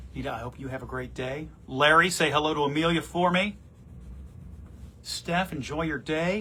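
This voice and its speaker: Loud and at a moderate pace, a man with a fairly high pitch uses a bright, sharp tone with vocal fry, ordinary pitch variation, and long, frequent pauses. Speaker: TV morning show anchor. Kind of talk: casual livestream chat. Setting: office, live on social media.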